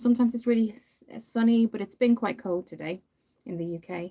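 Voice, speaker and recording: A woman speaks at a moderate pace with an Irish accent. Her pitch rises and falls in an ordinary way. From Ireland. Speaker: makeup youtuber. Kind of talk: livestream makeup tutorial with chat. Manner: casual, hesitant with many fillers.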